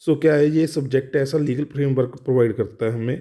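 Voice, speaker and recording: The man talks in a medium pitch, his tone dark and mellow. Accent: Punjabi. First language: Punjabi (speaking Hindi). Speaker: law tutor. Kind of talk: lecture. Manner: halting, with fillers and restarts.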